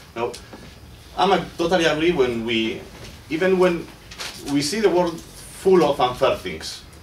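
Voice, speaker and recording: High-pitched for a man, this voice moves at a fairly slow pace with ordinary pitch variation and long, frequent pauses. Audible room echo and noticeable background noise are present. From Basque Country. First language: Basque or Spanish. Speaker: doctoral researcher and political activist. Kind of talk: seminar speech. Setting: seminar with audience. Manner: halting, with repetitions and self-corrections.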